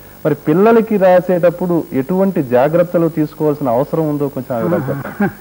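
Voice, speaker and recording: This man has a plain, everyday voice, fairly high in pitch, with ordinary pitch variation. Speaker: TV interviewer. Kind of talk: TV interview questions.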